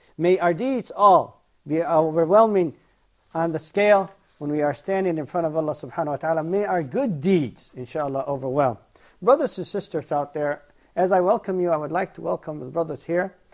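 The pitch moves in an ordinary way and the pace is fairly quick. The background is quiet. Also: man, high pitch for a man. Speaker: TV show host. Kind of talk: religious lecture. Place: studio.

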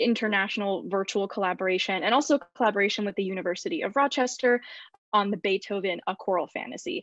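An ordinary speaking voice moves at a fairly quick pace with ordinary pitch variation, in a dry sound with no echo against a quiet background. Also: woman. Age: 20s. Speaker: college student; panelist. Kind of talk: panel discussion. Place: home room. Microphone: video call.

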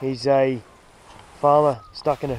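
A man is speaking over light background noise. The sound is dry, with no echo. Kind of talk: casual vlog chat. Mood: relaxed, friendly. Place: open country. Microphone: phone near.

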